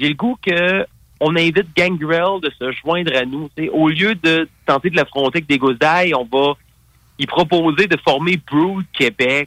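This man's voice is fairly high in pitch with ordinary pitch variation. He speaks at a very slow pace. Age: 40s. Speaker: pro wrestler and radio host. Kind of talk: interview.

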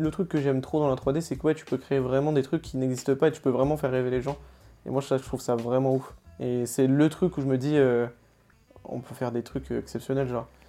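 Monotone, flat male voice of medium pitch over music in the background. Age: 20s. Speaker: 3D artist. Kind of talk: casual interview.

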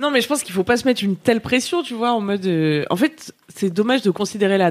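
A woman speaks in an animated tone at a medium pitch. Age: 30s. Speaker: podcast co-host. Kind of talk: casual chat. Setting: live stream.

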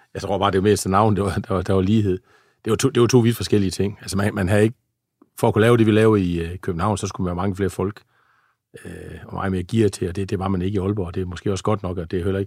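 Very fast, monotone speech from a man at a fairly low pitch, on a very clean recording with a silent background. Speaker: former police officer. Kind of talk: interview. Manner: halting.

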